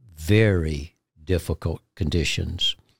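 A somewhat breathy man with a Southern US accent, dry and close with no echo, on a very clean recording with a silent background. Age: 60s. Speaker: ministry guest, Gideons member. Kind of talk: testimony, interview.

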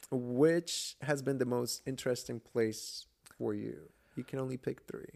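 A man speaks at a fairly slow pace with a medium pitch. His tone is dark and mellow, with ordinary pitch variation. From Georgia, US (born in Colombia, moved at seven). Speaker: podcast host. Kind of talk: casual chat.

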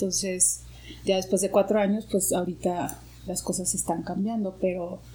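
Her voice dark and mellow in tone, a woman speaks at a medium pitch with vocal fry. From Mexico, Guadalajara. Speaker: actress and yoga teacher. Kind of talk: interview conversation.

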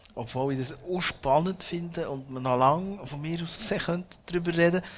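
This man's voice is a little breathy. He keeps a moderate tempo, and his pitch shifts in the usual way. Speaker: podcast and event host. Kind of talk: live interview before audience.

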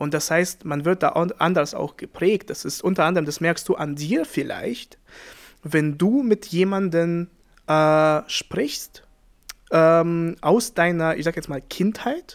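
A man with a non-native accent speaks at a very slow pace in a high voice with ordinary pitch variation. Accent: foreign accent in German. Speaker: podcast co-host. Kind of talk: casual chat.

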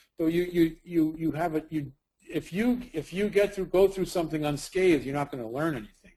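Speaking at a fairly quick pace, a man with a Brooklyn accent uses a fairly high pitch with ordinary pitch variation. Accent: New York (Brooklyn). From US Northeast (Brooklyn, New York). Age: 50s. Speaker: documentary subject, ex-addict. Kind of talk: interview. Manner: halting, many repetitions.

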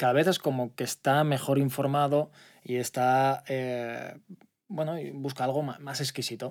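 A fairly slow pace and fairly even intonation on a very clean recording with a silent background. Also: man. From Spain, Alicante province (Altea). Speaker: startup CEO. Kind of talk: interview. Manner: halting.

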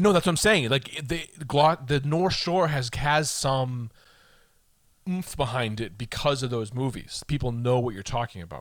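A man with an American accent talks at a moderate pace, his pitch in the medium range and his intonation lively. It's a plain, everyday voice on a very clean recording with a silent background. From Boston, Massachusetts. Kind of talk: casual chat.

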